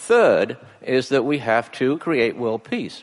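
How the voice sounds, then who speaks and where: A man talks in an English accent. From England. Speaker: family physician. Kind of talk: speech. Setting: stage with audience. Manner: halting.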